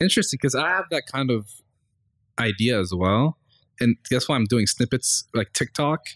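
In a very clean recording with a silent background and a dry, close sound with no echo, a man of medium pitch talks at a fairly quick pace with lively intonation, very even loudness and long, frequent pauses. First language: Arabic. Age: 20s. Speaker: podcast host. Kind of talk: casual interview chat.

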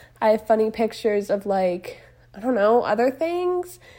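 A woman speaks with very wide pitch swings. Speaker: podcast host. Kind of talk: casual monologue. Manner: chatty, informal with fillers.

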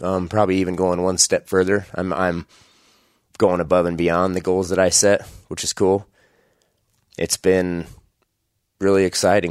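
In a very clean recording with a silent background, a man with a very deep, low pitch speaks at a moderate pace in a monotone, flat intonation, leaving long, frequent pauses, the sound dry and close with no echo. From Idaho, US. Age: 30s. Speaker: hunting podcast host. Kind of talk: solo podcast monologue. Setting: home bedroom, recording alone.

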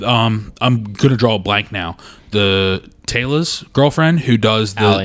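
At a fairly slow pace, an ordinary speaking voice comes through with ordinary pitch variation. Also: man, fairly low pitch for a man. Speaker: podcast host. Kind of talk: casual chat. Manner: joking, laughs often.

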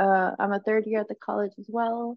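A woman's fairly high pitch at a fairly quick pace, an ordinary speaking voice. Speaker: college student podcast co-host. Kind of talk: casual chat.

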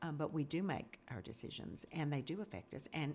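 A woman with a very deep, low pitch speaks at a moderate pace. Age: 60s. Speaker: interviewer and Sunday class teacher. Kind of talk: casual interview. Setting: studio.

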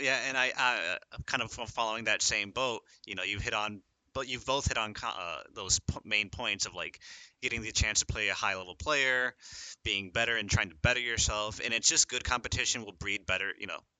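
A man with an American accent and a plain, everyday voice speaks in a medium pitch with ordinary pitch variation. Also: fairly quick pace. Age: 20s. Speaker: college student esports player. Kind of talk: podcast interview.

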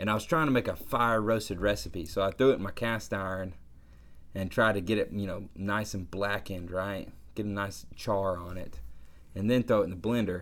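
Here a man speaks with a Southern US accent at a fairly quick pace. His pitch sits fairly low, with ordinary variation. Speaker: podcast co-host. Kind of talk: casual chat.

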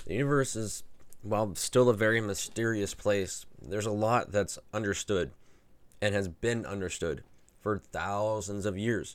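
The speaker is a man with a fairly low pitch. He talks at a moderate pace with ordinary pitch variation. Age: 30s. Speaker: solo podcaster running a website. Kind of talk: casual monologue. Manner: halting, many restarts.

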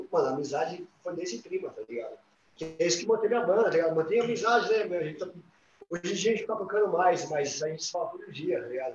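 With lively intonation and a high pitch, a man talks at a very fast pace. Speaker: rock band musician. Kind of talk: casual chat.

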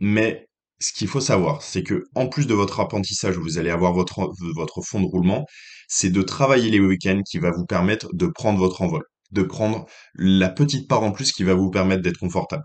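Against a quiet background, a man with a fairly low-pitched voice speaks with lively intonation. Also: moderate pace. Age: 20s. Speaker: podcast host giving financial advice. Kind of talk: solo advice monologue. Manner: hesitant, many fillers and repetitions.

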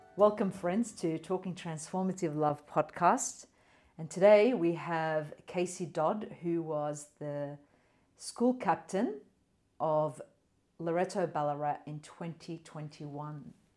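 A very slow pace in an Australian accent. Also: woman, fairly low pitch for a woman, ordinary pitch variation, big swings in loudness. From Australian city. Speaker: podcast host. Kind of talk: interview.

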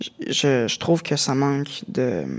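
With a Quebec accent, this man talks at a fairly high pitch. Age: 20s. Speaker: music producer. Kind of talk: casual chat.

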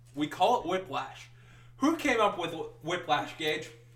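A man speaks in an animated tone with an American accent. Noticeable background noise is present. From US Midwest, Wisconsin. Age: 20s. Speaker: podcast co-host. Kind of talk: casual chat. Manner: giggly, animated.

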